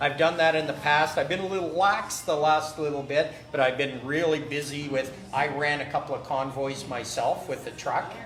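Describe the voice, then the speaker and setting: Speaking at a moderate pace with a Canadian accent, a man with a fairly high voice is heard amid noticeable background noise and audible room echo. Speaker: trucking magazine publisher. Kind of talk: casual chat. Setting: live stream at a barbecue restaurant. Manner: loud; animated.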